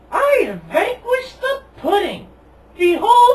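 A cartoonish character voice at an extremely high pitch moves at a fairly slow pace. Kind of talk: mock-epic proclamation. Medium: puppet show. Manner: grandiose, nonsensical.

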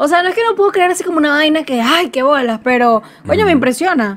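The intonation is lively, with a Venezuelan accent. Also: woman. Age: 20s. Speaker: podcast co-host. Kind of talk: casual chat. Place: home room.

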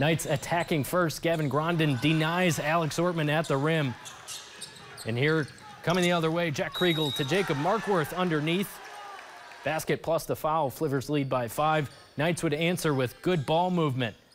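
Noticeable background noise sits behind a man's voice. His pitch is fairly high and his loudness very even. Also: moderate pace. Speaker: local TV sports anchor. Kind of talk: sports highlight voiceover, live-style play-by-play commentary. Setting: TV studio voiceover over game footage. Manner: punchy, energetic, clipped play-by-play.

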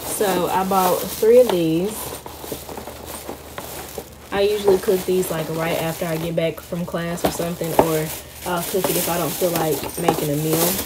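Loud background noise surrounds a woman who talks at a fairly slow pace with ordinary pitch variation. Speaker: college vlogger. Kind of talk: casual vlog chat. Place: home room. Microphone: phone near.

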